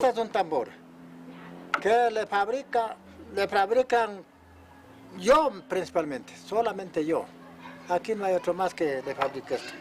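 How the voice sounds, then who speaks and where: A man with a high pitch and lively intonation speaks fairly slowly, leaving long, frequent pauses. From Ecuador, Chota-Mira valley highlands (Carchi). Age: 70s. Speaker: drum maker. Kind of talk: interview.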